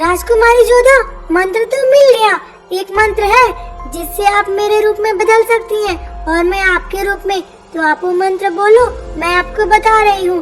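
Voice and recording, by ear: Over clear music in the background, a woman uses a cartoonish character voice with an extremely high pitch at a moderate pace.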